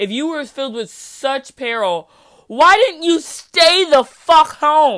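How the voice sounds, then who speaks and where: Over a very clean recording with a silent background, a woman speaks with very wide pitch swings. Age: 20s. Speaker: podcast host. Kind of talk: solo commentary monologue. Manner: casual, laughing often.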